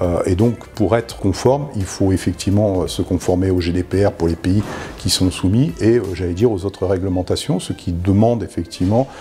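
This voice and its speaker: Music in the background behind a man with a very deep, low pitch, ordinary pitch variation and a moderate pace. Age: 50s. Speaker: data privacy officer. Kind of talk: testimony. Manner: hesitant, many fillers.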